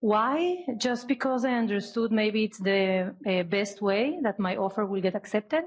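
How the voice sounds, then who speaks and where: Speaking at a moderate pace with a non-native accent, a woman uses lively intonation, very even loudness and hardly any pauses. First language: not English. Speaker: audience member, new investor. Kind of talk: audience question. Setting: speaking at audience microphone.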